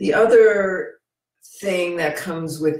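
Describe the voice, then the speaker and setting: A woman with an American accent speaks at a very slow pace, in a medium pitch with ordinary pitch variation. Room echo is audible. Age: 60s. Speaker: video blogger. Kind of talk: casual monologue. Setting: computer video recording. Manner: halting.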